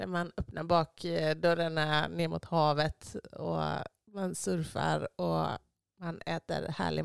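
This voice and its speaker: A woman is heard with a dry, close sound and no echo. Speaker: podcast host. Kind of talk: casual chat.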